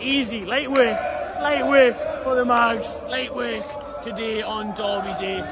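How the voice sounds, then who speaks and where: Loud background noise fills the recording. Through it, a man can be heard talking. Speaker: football fan channel host. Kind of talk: casual vlog chat. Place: street. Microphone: phone near.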